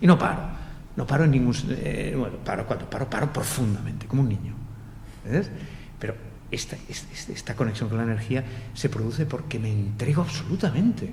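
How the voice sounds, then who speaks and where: Audible room echo surrounds a man who talks fairly quickly at a medium pitch with ordinary pitch variation, broken by long, frequent pauses. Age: 60s. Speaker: meditation teacher. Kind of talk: panel discussion. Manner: animated.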